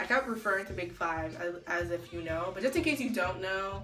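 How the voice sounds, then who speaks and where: A woman's animated, very fast speech at a medium pitch, with ordinary pitch variation, audible room echo and music in the background. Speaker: vlogger and publishing grad student. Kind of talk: casual vlog monologue.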